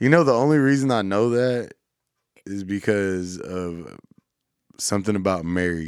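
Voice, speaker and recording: In a very clean recording with a silent background, a man with a Southern US accent speaks at a moderate pace, using a fairly low pitch, lively intonation, and long, frequent pauses. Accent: Southern country. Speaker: radio host. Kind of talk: casual chat.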